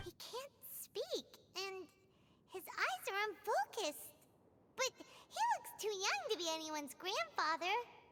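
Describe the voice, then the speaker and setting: An extremely high, squeaky put-on character voice at a fairly slow pace, with long, frequent pauses. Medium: video game. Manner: chatty, curious.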